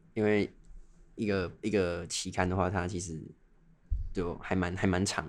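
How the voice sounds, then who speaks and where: Very deep and low in pitch, a man speaks at a moderate pace with ordinary pitch variation on a very clean recording with a silent background. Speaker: medical student and podcast co-host. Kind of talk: casual chat.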